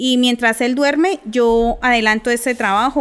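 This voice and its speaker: Clear background noise beneath speech with ordinary pitch variation. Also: woman. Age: 30s. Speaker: mother of two. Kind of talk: casual chat.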